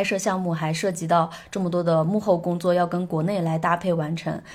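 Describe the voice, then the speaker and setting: With a normal speaking voice, a woman talks at a fairly quick pace in a fairly low register. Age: 20s. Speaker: musician and travel blogger. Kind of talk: casual chat.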